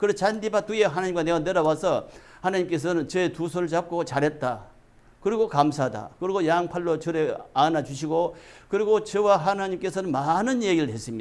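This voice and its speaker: A man's high-pitched voice with lively intonation, at a fairly quick pace. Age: 70s. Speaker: religious messenger. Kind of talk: testimony. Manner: formal.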